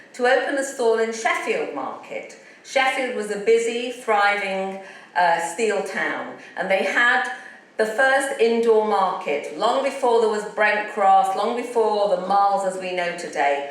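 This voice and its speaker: With a northern English accent, a woman speaks at a moderate pace and fairly high pitch with lively intonation, amid noticeable background noise and audible room echo. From northern England, Leeds. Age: old. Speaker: entrepreneur. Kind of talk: motivational talk.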